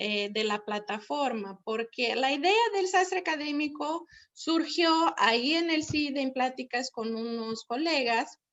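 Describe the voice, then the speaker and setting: Lively in her intonation, a woman with a high pitch and a Brazilian accent speaks at a fairly slow pace. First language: Portuguese (speaking Spanish). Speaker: professor and platform founder. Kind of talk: webinar presentation.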